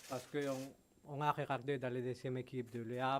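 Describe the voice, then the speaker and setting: Speaking at a moderate pace, a man with a Spanish accent has a medium pitch. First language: Spanish (speaking French). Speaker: football club executive. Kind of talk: press conference. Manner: halting.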